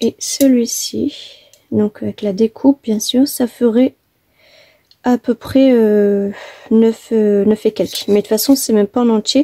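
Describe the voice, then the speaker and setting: A soft-spoken woman talks at a fairly slow pace in a fairly high voice with a dark, mellow tone, the sound dry and close with no echo. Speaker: papercraft tutorial maker. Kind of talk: tutorial. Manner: hesitant, many fillers.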